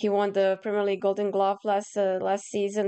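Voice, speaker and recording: A woman's dark, mellow tone at a fairly quick pace. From Croatia. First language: Croatian. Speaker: football pundit. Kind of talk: scripted review reading from notes. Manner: halting.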